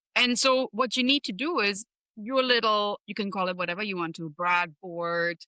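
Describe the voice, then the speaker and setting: A woman at a medium pitch speaks at a moderate pace with lively intonation and a bright, sharp tone, the sound dry and close with no echo. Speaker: leadership strategist. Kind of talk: podcast interview answer.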